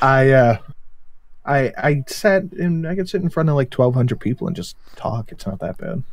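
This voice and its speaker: At a moderate pace, a man with an American accent speaks in a fairly high, somewhat breathy voice with lively intonation. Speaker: YouTuber guest on livestream. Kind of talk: casual chat.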